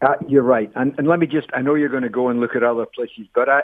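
This man has a normal speaking voice with a medium pitch and ordinary pitch variation. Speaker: urban planning professor. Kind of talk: radio interview.

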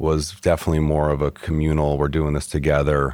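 A man speaks in a very deep, low pitch with an American accent. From Michigan. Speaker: chef and restaurant owner. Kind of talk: interview.

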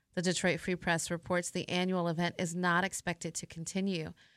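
A woman's normal speaking voice, fairly low in pitch, at a moderate pace on a very clean recording with a silent background. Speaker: radio news anchor. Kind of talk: formal news reading, scripted radio bulletin. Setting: radio studio. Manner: formal, measured, even newsreader delivery; brisk, neutral, clearly enunciated.

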